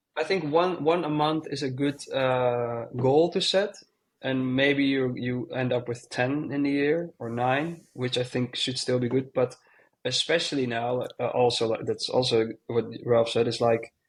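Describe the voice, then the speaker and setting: A fairly slow pace and ordinary pitch variation, with a Dutch accent. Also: man, medium pitch for a man. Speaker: DJ and producer. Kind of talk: casual chat.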